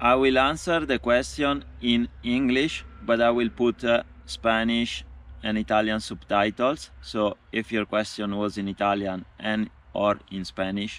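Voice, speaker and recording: Here a man talks at a fairly slow pace. The sound is dry, without echo. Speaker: cycling traveller vlogger. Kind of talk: casual vlog Q&A chat. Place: forest. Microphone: phone near.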